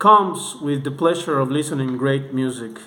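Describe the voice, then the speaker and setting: A man with a non-native accent at a fairly slow pace, amid audible room echo and noticeable background noise. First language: not English. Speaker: music reviewer. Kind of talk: video review monologue. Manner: halting, with repetitions.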